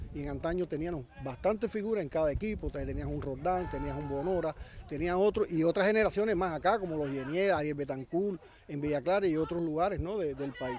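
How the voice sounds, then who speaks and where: A man with an ordinary speaking voice talks at a fairly quick pace, his fairly high pitch carried by lively intonation. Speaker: former footballer. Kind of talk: interview.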